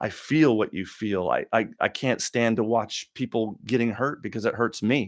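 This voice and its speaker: A man's medium-pitched voice at a moderate pace, fairly even in intonation, with hardly any pauses, on a very clean recording against a silent background. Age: 50s. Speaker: live-stream talk show host. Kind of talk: live Q&A rant. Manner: halting, repeats words.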